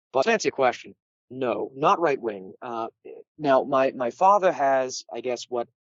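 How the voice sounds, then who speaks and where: With a New England accent, a man speaks at medium pitch and a moderate pace with lively intonation. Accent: New England Yankee twang. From New England, US. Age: 30s. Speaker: political dissident guest. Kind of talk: interview.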